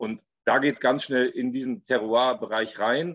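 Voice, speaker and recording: A man uses a normal speaking voice at a medium pitch and moderate pace. The sound is dry with no echo, over a quiet background. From Ahr valley, Germany; Germany. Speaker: winemaker; guest. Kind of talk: panel discussion. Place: home room. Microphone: video call.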